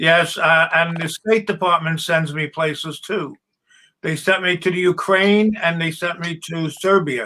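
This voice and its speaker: A man speaks in a high pitch. His pace is fairly slow and his intonation fairly even. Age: 80s+. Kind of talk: casual chat.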